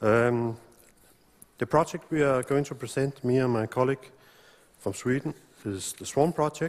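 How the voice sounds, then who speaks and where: A man with a Danish accent talks at a medium pitch and moderate pace, pausing long and often. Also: ordinary pitch variation. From Denmark. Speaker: road engineer researcher. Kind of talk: conference presentation.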